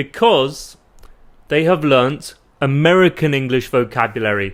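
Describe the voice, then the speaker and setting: In a British accent, a man with a fairly high voice speaks at a fairly slow pace on a very clean recording with a silent background. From UK. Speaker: English teacher. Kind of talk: tutorial. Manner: clear and deliberate.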